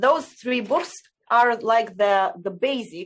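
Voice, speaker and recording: With a Romanian accent, a woman speaks at a very slow pace with lively intonation. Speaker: essential oils distributor. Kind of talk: interview. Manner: halting.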